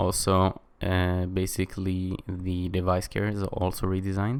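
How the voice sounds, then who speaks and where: A man with a non-native accent and a very deep, low pitch, in a very clean recording with a silent background. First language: not English. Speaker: tech reviewer. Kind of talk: tutorial. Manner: casual, many fillers.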